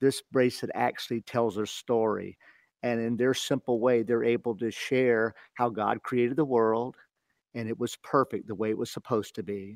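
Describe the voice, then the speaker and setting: A plain, everyday voice from a man at medium pitch, with a moderate pace, fairly even intonation, and a dry, close sound with no echo. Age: 60s. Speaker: ministry director. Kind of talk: interview about faith. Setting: phone call.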